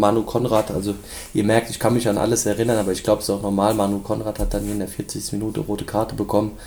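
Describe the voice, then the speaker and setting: Monotone and flat, a man's fairly low voice carries vocal fry and a dark, mellow tone. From Germany, Rhein-Main area (Hesse). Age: 20s. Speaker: former footballer, scout and assistant coach. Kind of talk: podcast interview.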